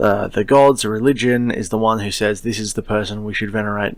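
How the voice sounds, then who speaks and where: The flat, monotone voice moves at a fairly quick pace in a very clean recording with a silent background. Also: man. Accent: Australian. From Australia. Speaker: podcast host, science fiction writer. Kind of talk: solo podcast monologue. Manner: casual, digressive with fillers.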